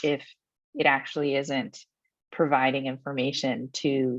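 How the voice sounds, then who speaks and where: A woman with a very deep, low pitch speaks over a quiet background. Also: dry sound with no echo. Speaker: solutions engineer presenting software demo; webinar presenter. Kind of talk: webinar presentation. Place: home room. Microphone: webcam.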